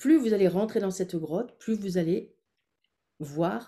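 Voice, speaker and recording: A woman's dark, mellow, somewhat breathy voice, with ordinary pitch variation and a fairly slow pace. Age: 60s. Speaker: former midwife and women's wellness coach. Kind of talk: webinar workshop with guided visualization. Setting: online webinar.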